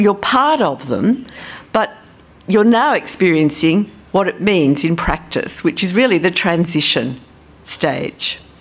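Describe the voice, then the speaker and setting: The speaker has an Australian accent and very wide pitch swings. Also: woman. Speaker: social policy professor. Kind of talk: conference talk. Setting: stage with audience.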